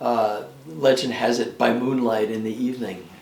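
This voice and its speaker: Spoken in an American accent, the clip carries noticeable background noise and audible room echo. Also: man. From New York State. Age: 70s. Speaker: retired clock restorer and rock climber. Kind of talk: documentary interview. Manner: halting, many fillers.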